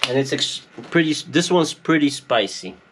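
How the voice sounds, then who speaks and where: A man speaks at a fairly slow pace. Noticeable background noise runs under him. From Poland. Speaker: YouTuber, off-grid homesteader. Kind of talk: casual vlog. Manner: chatty.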